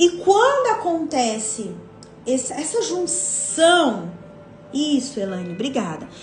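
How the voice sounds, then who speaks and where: A woman speaks at a high pitch with music in the background and audible room echo. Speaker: women's devotional leader. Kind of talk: devotional teaching live stream. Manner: casual, conversational.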